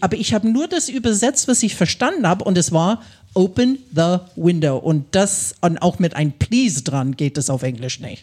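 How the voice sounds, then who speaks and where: A woman's somewhat breathy, medium-pitched voice with very wide pitch swings, at a moderate pace with hardly any pauses. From US Midwest, Ohio. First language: English (speaking German). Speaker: English teacher. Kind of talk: live podcast conversation. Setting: stage with audience.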